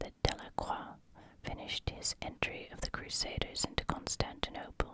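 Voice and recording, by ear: The voice is a croaky whisper. It moves at a fairly slow pace.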